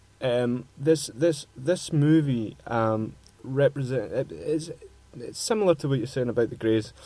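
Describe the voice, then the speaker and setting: With a strong Scottish accent, a man talks fairly slowly at a medium pitch, his tone dark and mellow and his pitch variation ordinary. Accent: broad Scottish. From Scotland. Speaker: radio host. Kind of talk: casual chat. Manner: halting.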